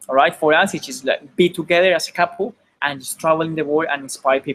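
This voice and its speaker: With a Spanish accent, the speaker keeps a moderate pace. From Colombia. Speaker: online marketer. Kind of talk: webinar presentation. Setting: live online webinar. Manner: halting, repeats words.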